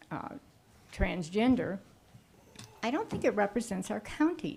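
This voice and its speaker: A woman's voice at a medium pitch. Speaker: public commenter at county meeting. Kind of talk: public comment. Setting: public meeting room. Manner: soft-spoken; halting.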